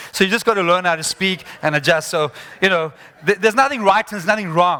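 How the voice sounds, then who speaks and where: The voice is raised and projected. Its intonation is lively. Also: man. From South Africa. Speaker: motivational speaker. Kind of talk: conference talk.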